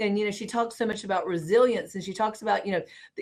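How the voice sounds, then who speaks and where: A woman of medium pitch speaks with a Southern US accent. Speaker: housing industry professional. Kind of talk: live panel discussion. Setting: video call livestream. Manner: rising inflection at sentence ends.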